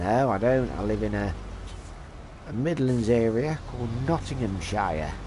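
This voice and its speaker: With audible room echo, a man speaks fairly slowly at a medium pitch, using lively intonation and long, frequent pauses. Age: 40s. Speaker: gaming streamer. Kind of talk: live gameplay stream chat.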